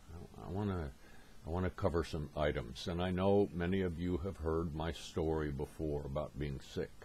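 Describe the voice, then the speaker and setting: Somewhat breathy, a man with a very deep, low pitch and a dark, mellow tone speaks at a moderate pace with ordinary pitch variation. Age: 70s. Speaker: motivational speaker. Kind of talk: presentation.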